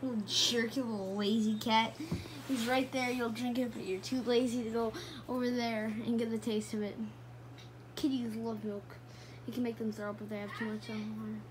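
Over noticeable background noise, a woman speaks at a moderate pace. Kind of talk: casual talk to pet. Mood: affectionate, playful. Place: home room. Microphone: phone near.

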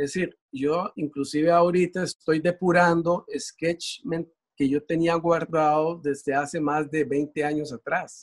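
A man's fairly high voice at a fairly slow pace, fairly even in intonation with hardly any pauses, over a quiet background. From Curaçao, raised in Costa Rica. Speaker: visual artist; interviewee. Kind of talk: interview, explaining his artworks. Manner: halting, many fillers. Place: workshop. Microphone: video call.

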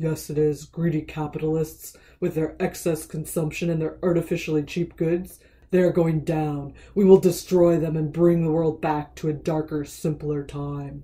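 At a middle pitch and a moderate pace, the speaker uses a put-on character voice. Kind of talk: comic villain speech. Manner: grumpy, grandiose.

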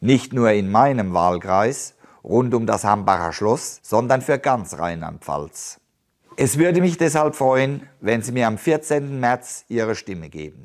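Against a quiet background, a man with a medium pitch speaks at a very slow pace, his pitch swinging very widely. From Palatinate, Germany (Haßloch); Palatinate. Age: 50s. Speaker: politician, police officer; politician. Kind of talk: campaign statement. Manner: formal. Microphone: lapel.

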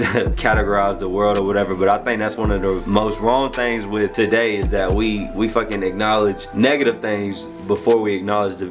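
A man speaks at a fairly quick pace with a fairly low pitch and fairly even intonation. Clear music plays in the background. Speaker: vlogger. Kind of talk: casual vlog chat. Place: home room. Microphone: phone near.

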